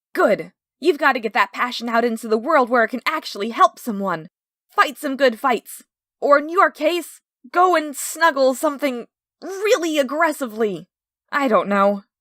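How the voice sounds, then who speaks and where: A woman performs a loud, put-on character voice at a high pitch and a moderate pace, in a very clean recording with a silent background. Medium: read story. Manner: loud, intense, overdramatic.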